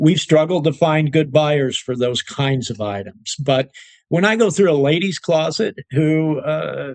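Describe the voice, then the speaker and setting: A man with a plain, everyday voice, fairly high pitch, ordinary pitch variation and a fairly slow pace. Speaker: auctioneer and certified appraiser. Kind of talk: interview answer.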